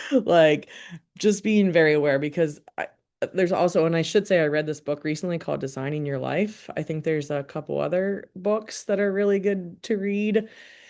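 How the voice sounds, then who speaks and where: Against a quiet background, a woman with an American accent speaks in an unremarkable speaking voice at a fairly low pitch, with ordinary pitch variation and a moderate pace. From Maryland, US. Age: 40s. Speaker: scientist and workshop presenter. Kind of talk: professional development talk. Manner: casual, many fillers.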